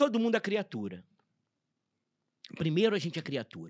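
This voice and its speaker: A man is speaking. The sound is dry and close with no echo, on a very clean recording with a silent background. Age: 60s. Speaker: clown. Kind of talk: casual chat. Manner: halting.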